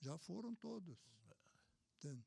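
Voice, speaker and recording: A man is heard in a dry, close sound with no echo. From Brazil, Sorocaba (São Paulo state). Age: 80s+. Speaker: elderly local businessman recalling memories. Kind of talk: casual interview conversation.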